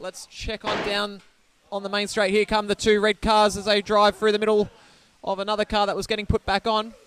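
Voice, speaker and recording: Monotone and flat, the speaker goes at a fairly quick pace in an Australian accent. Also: man. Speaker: race commentator. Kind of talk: live commentary. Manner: fast; loud.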